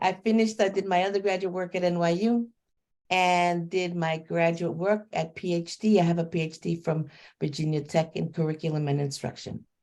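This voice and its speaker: In a New York accent, a woman speaks at a fairly low pitch and fairly quick pace. Her intonation is fairly even, and the background is quiet. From New York City. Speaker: educator. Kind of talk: self-introduction at a book launch.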